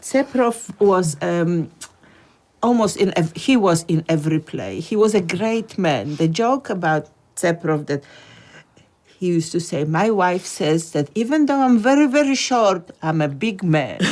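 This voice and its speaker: Speaking at a fairly slow pace, a woman with a medium pitch swings very widely in pitch. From Russia and Poland, then Australia. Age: 70s. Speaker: former amateur Yiddish theatre actor. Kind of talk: documentary interview, reminiscing.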